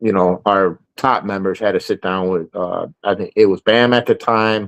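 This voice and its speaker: With a northern US accent, this man talks at a moderate pace in a flat, monotone way and a fairly low pitch. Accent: northern US, noticeable. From Chicago. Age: 40s. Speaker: motorcycle club member. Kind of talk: interview. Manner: casual, hesitant with fillers.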